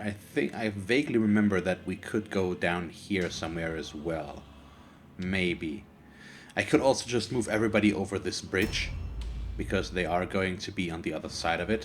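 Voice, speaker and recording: A man speaks with a German accent and lively intonation. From Germany. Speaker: gaming YouTuber. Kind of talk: let's play commentary. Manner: halting.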